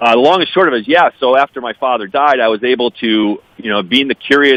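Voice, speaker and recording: In an American accent, a plain, everyday voice speaks with ordinary pitch variation. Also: man. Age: 50s. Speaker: adoptee advocate, business executive. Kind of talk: radio interview.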